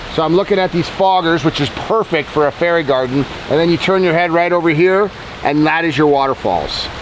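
Against noticeable background noise, a man with a high-pitched voice talks at a moderate pace with ordinary pitch variation. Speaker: host of pond-building channel. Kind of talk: casual tour commentary. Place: garden.

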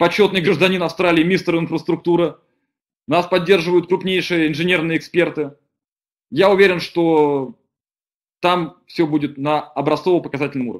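A man's high-pitched voice at a moderate pace, fairly even in intonation, with long, frequent pauses against a quiet background. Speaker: deputy director of an engineering company; webinar presenter. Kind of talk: webinar presentation. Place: home room. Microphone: webcam.

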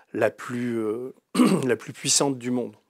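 In a quiet background with a dry sound and no echo, a man talks very slowly at a medium pitch in a monotone, flat intonation. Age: 60s. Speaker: writer and investigative journalist; investigative journalist. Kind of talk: interview. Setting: studio, live stream. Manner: hesitant, many fillers. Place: studio.

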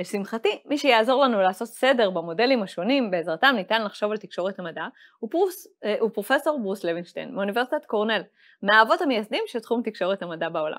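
Against a quiet background, a woman with a fairly high pitch talks at a very fast pace with lively intonation. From Israel. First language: Hebrew. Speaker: lecturer and course host. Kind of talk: scripted course presentation; interview. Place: studio.

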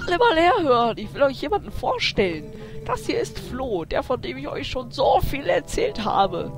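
Over clear background music, a man puts on a character voice with vocal fry, extremely high pitch and big pitch swings, moving at a moderate pace.

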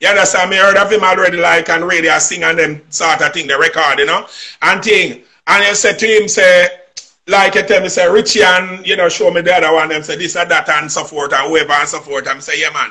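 Speaking at a fairly quick pace with a Jamaican accent, the voice has a bright, sharp tone and ordinary pitch variation. The background is quiet. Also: man, high pitch for a man. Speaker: singer. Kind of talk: interview answer, storytelling. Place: home room. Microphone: video call.

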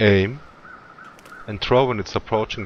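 Speaking with a strong Swiss accent, a man with a fairly low pitch is heard over noticeable background noise. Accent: heavy Swiss. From Switzerland. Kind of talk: video game tutorial narration.

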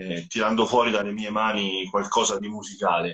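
In an ordinary speaking voice, a man talks at a moderate pace with a medium pitch. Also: quiet background. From central Italy (Rieti area); central Italy. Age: 40s. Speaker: rock guitarist and songwriter; guest. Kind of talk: live interview. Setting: Instagram live video call. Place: home room.

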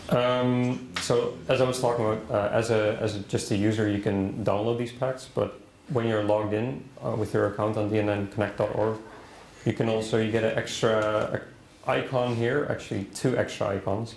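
Amid audible room echo and light background noise, a man with a Dutch accent speaks at a moderate pace with fairly even intonation. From Netherlands. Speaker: DNN consultant, conference presenter. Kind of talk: conference presentation with demo. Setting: conference room with audience. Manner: halting, many fillers. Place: classroom.

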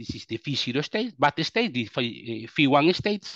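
The speaker has a Spanish accent and very wide pitch swings at a moderate pace. The sound is dry with no echo, against a quiet background. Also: man. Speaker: quantum computing researcher; webinar presenter. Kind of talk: technical presentation. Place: home room.

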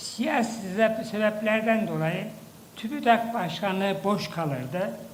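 The speech comes at a very slow pace with ordinary pitch variation, over noticeable background noise. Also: man. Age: 80s+. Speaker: professor, former science agency head. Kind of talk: ceremonial speech.

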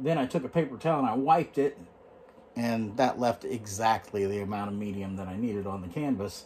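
Over light background noise, a man talks with very wide pitch swings. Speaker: painting instructor. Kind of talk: tutorial. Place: home room. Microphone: phone near.

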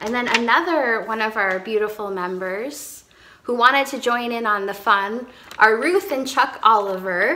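This woman speaks fairly slowly. The variation in her pitch is ordinary. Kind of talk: devotional talk to congregation. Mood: warm, encouraging. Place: home room. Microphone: phone near.

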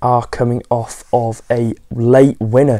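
The man's words come through with a quiet background behind them. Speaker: football fan vlogger. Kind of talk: casual vlog chat. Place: home room. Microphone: lapel.

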